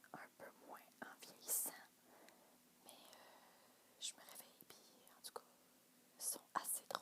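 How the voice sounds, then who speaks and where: Whispering in a Quebec accent, a woman talks at a very slow pace, with long, frequent pauses and big swings in loudness. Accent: Québécois French. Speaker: ASMR youtuber. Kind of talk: casual chat to camera. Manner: soft-spoken; halting.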